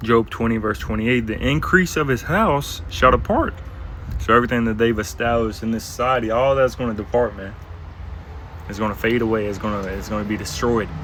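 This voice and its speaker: The speech moves at a fairly quick pace with ordinary pitch variation. There is audible room echo. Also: man, medium pitch for a man. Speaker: bible teacher. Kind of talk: bible lesson. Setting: outdoors. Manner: soft-spoken.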